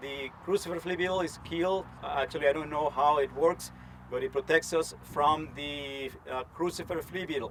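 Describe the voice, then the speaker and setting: With a Spanish accent, a man speaks at a moderate pace in a fairly high pitch, with ordinary pitch variation and noticeable background noise. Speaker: entomologist, research scientist. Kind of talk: conference talk. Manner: animated.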